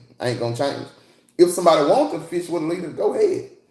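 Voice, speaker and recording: The delivery is fairly quick and somewhat breathy, with lively intonation. Audible room echo surrounds the voice. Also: man. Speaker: livestreamer and fishing enthusiast, military veteran. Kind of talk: casual livestream chat reading comments. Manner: animated.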